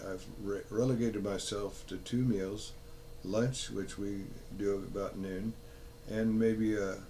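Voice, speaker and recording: A man's fairly low, dark and mellow voice in a flat monotone, with audible room echo. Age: 80s. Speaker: health vlogger. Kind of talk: casual monologue. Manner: halting.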